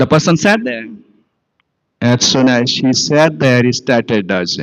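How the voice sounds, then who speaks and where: A man's medium-pitched voice with an Odisha accent, lively intonation and a fairly slow pace. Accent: Indian English, Odia. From India, Odisha. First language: Odia. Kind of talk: sermon. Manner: halting.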